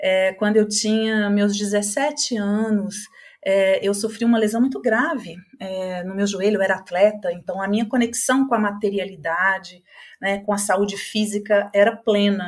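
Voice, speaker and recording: A woman speaks at a fairly slow pace, her somewhat breathy voice keeping a fairly even intonation. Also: medium pitch for a woman. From Brazil. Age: 50s. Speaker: psychologist and holistic therapist. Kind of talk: podcast interview.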